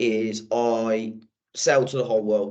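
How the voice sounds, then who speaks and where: With an English accent, a man is talking. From England, Birmingham. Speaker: sales manager. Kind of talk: podcast interview. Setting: video podcast. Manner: casual, with frequent fillers and repetitions.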